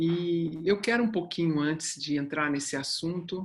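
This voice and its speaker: With an unremarkable speaking voice, a woman speaks at a fairly low pitch and a fairly slow pace, using ordinary pitch variation. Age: 60s. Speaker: human development mentor and company founder. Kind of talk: online talk.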